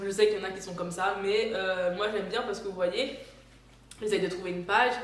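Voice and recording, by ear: A woman speaks at a fairly quick pace with fairly even intonation. Audible room echo surrounds her voice.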